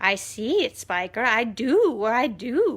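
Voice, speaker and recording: A woman uses a put-on character voice. Her pitch sits fairly high, and she speaks at a fairly slow pace. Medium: read story. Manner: excited, gushing.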